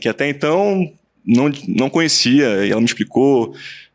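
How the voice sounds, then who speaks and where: A man at a moderate pace with a Pernambuco accent, against a quiet background. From Brazil, Pernambuco (Recife). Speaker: lawyer and business partner. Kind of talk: podcast interview. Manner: halting, with many repetitions.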